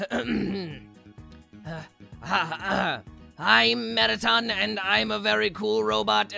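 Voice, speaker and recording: A man puts on a character voice at a medium pitch, speaking very slowly over faint background music. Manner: imitation, playful.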